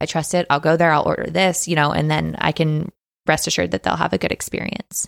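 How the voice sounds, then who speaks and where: Very fast and very deep for a woman, her American-accented voice carries vocal fry and ordinary pitch variation. The loudness stays very even on a very clean recording with a silent background. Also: dry, close sound with no echo. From Texas. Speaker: food social media creator and business owner. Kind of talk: casual interview. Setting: studio.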